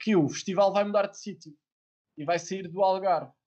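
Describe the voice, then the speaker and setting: A man at a moderate pace. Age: 20s. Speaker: podcast host. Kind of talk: casual interview. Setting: live stream video call.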